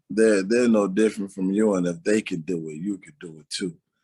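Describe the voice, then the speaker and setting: A man with an American accent and a normal speaking voice, fairly low in pitch, fairly even in intonation, over a quiet background. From Aurora, Illinois (Chicago area), US Midwest. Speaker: interview guest, religious community member. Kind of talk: interview testimony.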